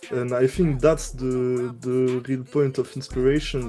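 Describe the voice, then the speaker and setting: Over music in the background, a man speaks at a medium pitch and fairly slow pace with a French accent. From France. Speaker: music producer. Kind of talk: interview. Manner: halting, many fillers.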